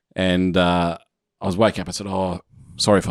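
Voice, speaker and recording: Very fast and very deep, a man with an Australian accent speaks in a dry, close sound with no echo. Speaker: podcast co-host. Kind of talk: casual chat.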